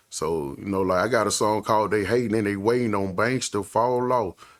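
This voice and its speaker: Fairly quick speech with an American accent comes through in a very clean recording with a silent background. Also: man. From Saginaw, Michigan. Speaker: rapper. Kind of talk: interview. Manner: casual, rambling with fillers.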